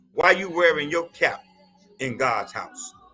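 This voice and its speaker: Music in the background behind a man speaking. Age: 70s. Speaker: pastor. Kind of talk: live stream commentary. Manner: impassioned.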